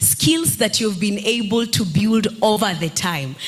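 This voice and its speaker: Against noticeable background noise and audible room echo, a woman speaks at a fairly slow pace with lively intonation. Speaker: entrepreneur and content creator. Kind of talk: panel discussion. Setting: stage with audience. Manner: animated.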